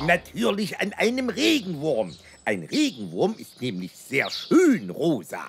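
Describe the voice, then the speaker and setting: A cartoonish character voice at a middle pitch and a fairly slow pace. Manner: complaining, cheeky.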